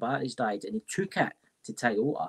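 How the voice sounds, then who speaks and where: In a Scottish accent, a man with a fairly high, bright, sharp voice talks at a fairly quick pace with very wide pitch swings. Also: dry, close sound with no echo. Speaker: paranormal investigator. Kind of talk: casual chat.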